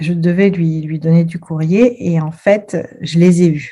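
The voice is somewhat breathy, with a dark, mellow tone and fairly even intonation. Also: woman. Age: 40s. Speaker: Pilates teacher and Reiki master. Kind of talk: testimony. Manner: gentle.

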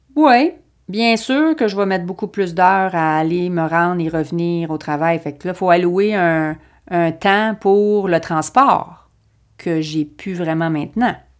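Against a silent background in a very clean recording, a woman with a fairly low pitch talks at a very slow pace with ordinary pitch variation. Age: 50s. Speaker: podcast host, Pilates and fitness coach. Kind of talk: personal development podcast monologue. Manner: hesitant, with frequent fillers and repetitions.

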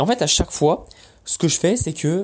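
The man talks with lively intonation. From France, Paris. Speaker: online business podcaster. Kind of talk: casual monologue.

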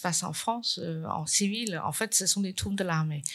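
A woman with a Chinese accent speaks at a moderate pace, her intonation fairly even. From China. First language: Chinese (speaking French). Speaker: painter. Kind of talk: conference talk. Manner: halting, many repetitions.

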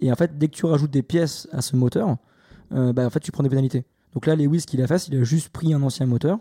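A man speaks at a fairly quick pace in a somewhat breathy, dark, mellow tone, fairly high in pitch. His pitch varies in an ordinary way, and the sound is dry and close with no echo. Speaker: F1 podcast co-host. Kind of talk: casual chat.

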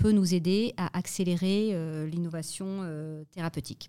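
A woman's dark, mellow voice, fairly low, with ordinary pitch variation and a very slow pace, in a very clean recording with a silent background. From French Alps, Vercors. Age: 40s. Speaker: tech executive. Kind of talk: interview.

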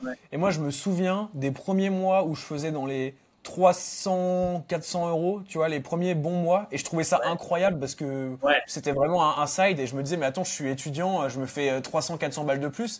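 A man talks at a fairly slow pace with hardly any pauses, in a plain, everyday voice. His pitch is fairly high, with ordinary pitch variation. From Normandy, France. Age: 20s. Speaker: SEO freelancer. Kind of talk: casual interview.

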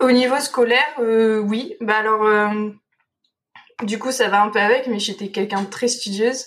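At a fairly slow pace, a woman talks in a fairly high voice with fairly even intonation. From France, Dordogne. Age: 20s. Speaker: veterinarian. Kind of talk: interview. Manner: hesitant, many fillers.

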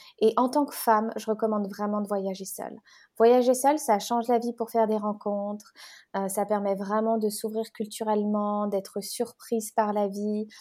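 With a dark, mellow tone yet a fairly high pitch, a woman speaks at a moderate pace in monotone, flat intonation. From French-Swiss border near Geneva. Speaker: relationship coach. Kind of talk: podcast interview.

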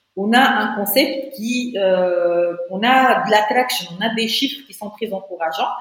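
A woman's fairly high voice at a fairly slow pace, lively intonation and audible room echo. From Tunisia. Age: 30s. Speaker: entrepreneur. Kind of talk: interview.

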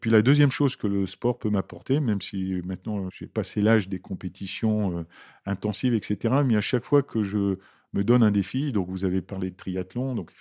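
A man speaks at a moderate pace with ordinary pitch variation, in an ordinary speaking voice. The recording is very clean, with a silent background. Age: 60s. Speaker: HR director. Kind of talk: interview. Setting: company office.

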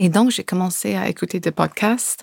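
The recording is very clean with a silent background. Pitch varies in an ordinary way. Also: woman. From California, US. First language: English (speaking French). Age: 40s. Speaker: association founder. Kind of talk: interview. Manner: halting.

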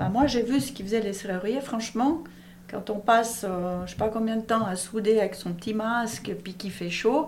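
There is audible room echo as a woman speaks at a fairly high pitch with ordinary pitch variation. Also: big swings in loudness. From Switzerland, Valais (Monthey). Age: 50s. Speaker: business owner. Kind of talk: interview.

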